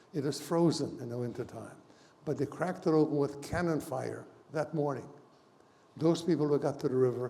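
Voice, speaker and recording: This man's voice is fairly high-pitched and somewhat breathy, with a dark, mellow tone. He talks at a moderate pace. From Hungary. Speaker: Holocaust survivor. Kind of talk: testimony.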